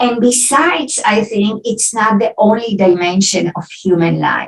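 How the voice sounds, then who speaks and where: The speaker talks at a fairly slow pace with an Israeli accent. Pitch variation is ordinary. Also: woman, fairly high pitch for a woman. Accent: Israeli accent, often taken for German. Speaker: philosophy professor. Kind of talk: academic Q&A after lecture.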